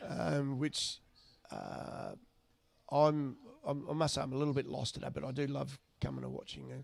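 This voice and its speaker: Long, frequent pauses break up a man's speech against noticeable background noise. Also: moderate pace. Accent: Australian. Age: 60s. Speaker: club cricketer. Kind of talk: casual chat.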